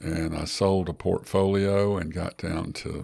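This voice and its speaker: A man's very deep, low voice, dark and mellow in tone, monotone and flat, with an Alabama accent, on a very clean recording with a silent background. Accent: Southern US (Alabama). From US South (Gadsden, Alabama). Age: 70s. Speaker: personal injury lawyer and real estate investor. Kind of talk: podcast interview.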